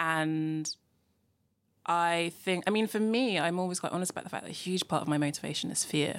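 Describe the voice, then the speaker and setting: Fairly quick and fairly low-pitched, a woman with a London accent speaks with ordinary pitch variation in a very clean recording with a silent background. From London, raised in Nigeria early. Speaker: podcast host. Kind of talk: interview chat.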